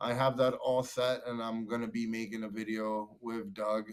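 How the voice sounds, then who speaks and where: This man's pitch sits in the medium range. His intonation stays monotone and flat. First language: not English. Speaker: electric unicycle rider and 3D-printed pad maker. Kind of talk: casual interview chat.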